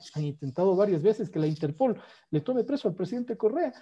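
Speaking at a very fast pace, a man uses very wide pitch swings in a dark, mellow tone. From Ecuador, Quito; Ecuador. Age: 50s. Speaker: economist and former economy minister; former economy minister. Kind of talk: political interview conversation. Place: home room. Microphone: earbuds.

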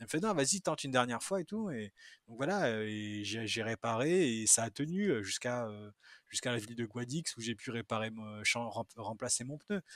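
With lively intonation at a moderate pace, an ordinary speaking voice comes through dry and close with no echo on a very clean recording with a silent background. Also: man, medium pitch for a man. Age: 30s. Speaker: ultra-distance cyclist. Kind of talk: casual chat.

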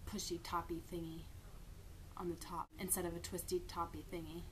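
A woman talks with fairly even intonation at a moderate pace while light background noise runs underneath. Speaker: vlogger. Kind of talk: casual vlog chat. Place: home room. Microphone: webcam.

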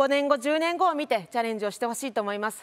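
Her pitch high and her intonation lively, a woman talks at a fairly quick pace. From Japan. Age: 30s. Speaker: lawyer and local politician; lawyer, local politician. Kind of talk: speech. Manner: formal. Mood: earnest, encouraging. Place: stage. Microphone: lapel.

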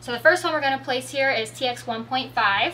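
With light background noise behind her, a woman speaks at a moderate pace and a high pitch with ordinary pitch variation. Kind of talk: tutorial. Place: car.

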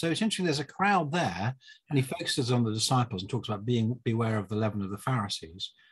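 Over a quiet background, a man talks at a very fast pace in a somewhat breathy voice. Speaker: bible teacher in discussion. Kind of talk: conversational exposition of a bible passage. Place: home room. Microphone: video call.

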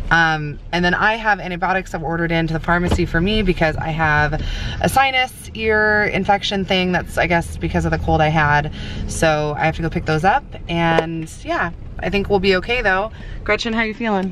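Over noticeable background noise, a woman talks at a fairly quick pace with a fairly low pitch. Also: ordinary pitch variation. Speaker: family vlogger. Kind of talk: casual chat. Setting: parking lot of the ER.

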